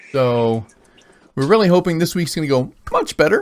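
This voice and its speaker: A man with an American accent talks at a fairly quick pace, his pitch varying in an ordinary way. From Oklahoma. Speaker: game master. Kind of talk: tabletop roleplay session. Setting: live stream.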